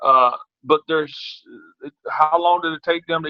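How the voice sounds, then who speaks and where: In a Southern US accent, a man speaks with a fairly high pitch and fairly even intonation. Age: 60s. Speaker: track and field coach. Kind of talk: interview. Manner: halting, many repetitions.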